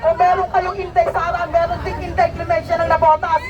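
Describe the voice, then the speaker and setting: With crowd noise behind her, a woman with an extremely high pitch talks fairly quickly in an animated tone. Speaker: fish vendor and political supporter. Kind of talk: rally speech. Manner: animated, impassioned.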